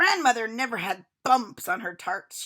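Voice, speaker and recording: A woman growls in a put-on character voice at a fairly high pitch. Her pitch swings very widely at a moderate pace. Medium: read story. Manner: snappish, prim.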